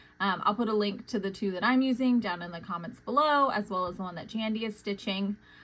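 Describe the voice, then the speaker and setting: With ordinary pitch variation, a woman speaks in a normal speaking voice. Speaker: cross stitch vlogger. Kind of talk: casual tutorial vlog. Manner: casual with filler words.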